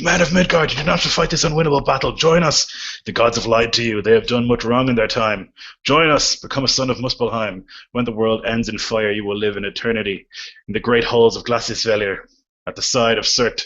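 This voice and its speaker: Using a put-on character voice, a man booms out his lines at a fairly quick pace and a medium pitch. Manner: persuasive, tempting.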